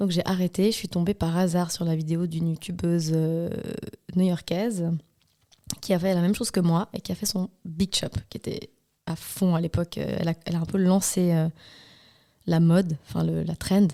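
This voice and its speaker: The woman's voice is dark and mellow with a fairly low pitch and monotone, flat intonation. She keeps a moderate pace with long, frequent pauses, and the sound is dry and close, with no echo. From Switzerland, Valais. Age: 30s. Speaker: hairdresser and salon owner. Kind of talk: podcast interview.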